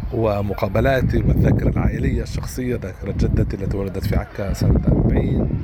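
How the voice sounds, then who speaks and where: With a very deep, low pitch and very wide pitch swings, a man speaks at a moderate pace amid audible room echo and noticeable background noise. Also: hardly any pauses. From Palestine, Nazareth. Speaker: novelist and translator. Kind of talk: interview. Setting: remote interview. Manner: halting, many fillers.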